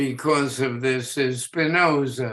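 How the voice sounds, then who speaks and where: The speech moves at a very slow pace with fairly even intonation. The background is quiet. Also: man. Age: 80s+. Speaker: educator. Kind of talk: radio interview.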